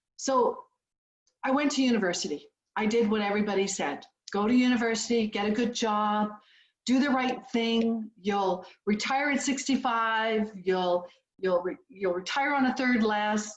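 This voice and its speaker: In a Canadian accent, a somewhat breathy woman talks at a fairly high pitch and moderate pace with ordinary pitch variation. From Canada, small town. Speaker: business founder. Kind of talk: motivational speech. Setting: video call.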